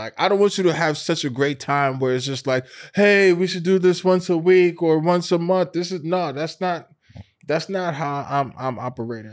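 Using a normal speaking voice, a man talks at a moderate pace and a fairly high pitch with ordinary pitch variation.

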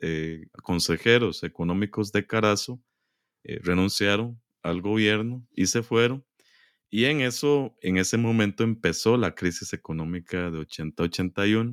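Relaxed and calm, a man with a fairly low voice speaks at a fairly slow pace with ordinary pitch variation, the sound dry and close with no echo on a very clean recording with a silent background. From Costa Rica, San José. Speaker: historian, professor. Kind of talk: interview. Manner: relaxed, calm.

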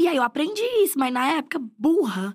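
A woman's animated tone stands out on a very clean recording with complete silence behind it. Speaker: comedian and screenwriter. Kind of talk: casual chat.

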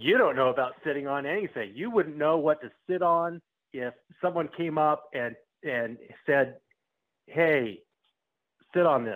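Fairly slow and marked by long, frequent pauses, a man speaks at a fairly high pitch with lively intonation. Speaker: prank call target. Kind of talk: heated phone argument. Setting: phone call. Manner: angry, loud.

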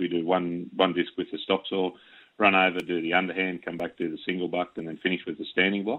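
A man with an Australian accent and a very deep, low pitch speaks at a very fast pace. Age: 40s. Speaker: wood chopping champion. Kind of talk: radio interview.

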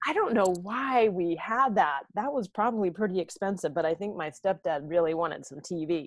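With an American accent, this is an ordinary speaking voice with lively intonation, a moderate pace and hardly any pauses. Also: woman, medium pitch for a woman. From US Southwest, Santa Fe New Mexico. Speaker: self-care educator and author. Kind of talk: interview conversation.

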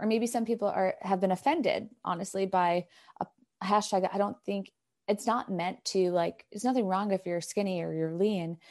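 A normal speaking voice from a woman at medium pitch, with ordinary pitch variation and a moderate pace. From New York. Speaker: elite runner and running coach. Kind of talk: casual interview.

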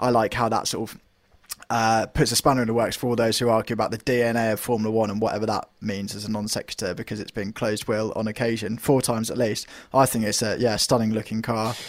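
Speaking at a very fast pace with a British accent, a man keeps a medium pitch and a monotone, flat intonation. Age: 20s. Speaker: motorsport journalist. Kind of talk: casual chat.

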